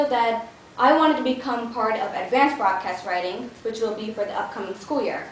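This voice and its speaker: Amid noticeable background noise and audible room echo, a woman with an American accent speaks at a high pitch and a fairly quick pace, with lively intonation. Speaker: public speaking club member. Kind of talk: prepared speech.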